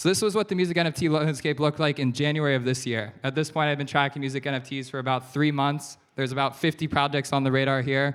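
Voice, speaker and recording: Speech in an American accent comes at a very fast pace with hardly any pauses. The recording is very clean, with a silent background. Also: man, fairly high pitch for a man. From USA. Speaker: investor. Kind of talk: keynote talk. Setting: stage with audience. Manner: animated.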